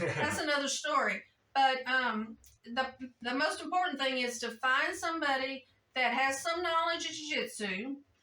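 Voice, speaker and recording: A woman speaks in a raised, projected voice. Her pitch is high, with ordinary pitch variation. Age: 60s. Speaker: jiu-jitsu practitioner. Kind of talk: interview answer.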